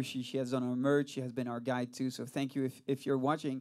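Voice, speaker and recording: The recording is very clean, with a silent background. A man speaks at a medium pitch with a French accent. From France. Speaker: rock band singer and bassist. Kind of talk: casual interview. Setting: studio.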